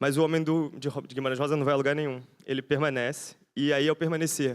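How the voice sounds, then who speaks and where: A fairly high-pitched man at a fairly quick pace, in monotone, flat intonation, on a very clean recording with a silent background. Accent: Rio de Janeiro. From Brazil, Rio de Janeiro. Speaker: architect and researcher. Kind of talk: conference lecture. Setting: conference talk before audience. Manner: fast; halting, with fillers and restarts.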